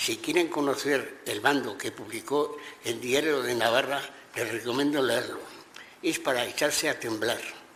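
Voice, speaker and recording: A man with a fairly high pitch speaks at a fairly slow pace and with fairly even intonation over noticeable background noise. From Navarre, Spain (Corella). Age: 80s+. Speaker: witness to Francoist repression. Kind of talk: testimony. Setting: regional parliament hearing. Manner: halting, with repetitions.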